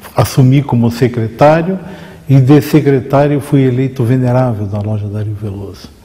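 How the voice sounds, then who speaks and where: Noticeable background noise fills the clip. A man is speaking. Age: 60s. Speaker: freemason lodge leader. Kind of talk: interview. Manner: formal.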